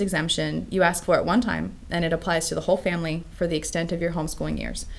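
A woman speaks with an American accent at a very fast pace. She leaves hardly any pauses. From US West Coast. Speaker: homeschooling parent. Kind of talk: interview. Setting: studio.

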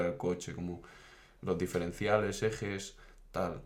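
Moderately paced speech from a man, monotone and flat. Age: 20s. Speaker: engineering student. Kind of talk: casual chat.

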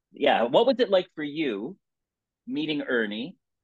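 With a North American accent, a man uses an ordinary speaking voice at a moderate pace and with lively intonation. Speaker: podcast host, former hockey player. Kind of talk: casual interview.

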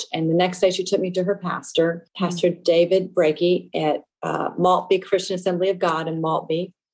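Monotone, flat intonation with hardly any pauses. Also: woman, fairly low pitch for a woman, moderate pace. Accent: American. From Louisiana, US South. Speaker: testimony guest, nonprofit trustee and youth leader. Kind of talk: testimony, casual interview. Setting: phone call.

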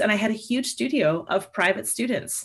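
This woman talks at a fairly quick pace with a western Canadian accent. Her medium-pitched voice has lively intonation. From Canada, Alberta (Lloydminster). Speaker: saxophone professor. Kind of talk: interview.

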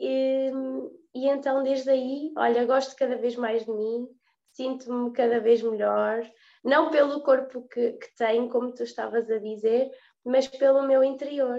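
A woman's high-pitched voice at a fairly slow pace, with monotone, flat intonation. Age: 20s. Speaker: fitness instructor and gym owner. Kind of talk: casual interview chat.

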